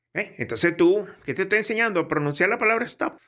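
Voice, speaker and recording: A man speaks with a bright, sharp tone. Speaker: pilot and aviation English teacher. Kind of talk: tutorial; sales pitch. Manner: casual, conversational.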